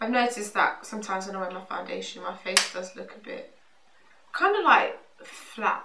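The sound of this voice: A woman's bright, sharp tone with vocal fry, a moderate pace and audible room echo. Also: medium pitch for a woman, lively intonation.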